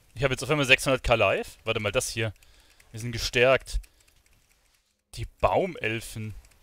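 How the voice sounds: The tone is fairly bright. The pace is moderate, with ordinary pitch variation. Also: man, medium pitch for a man.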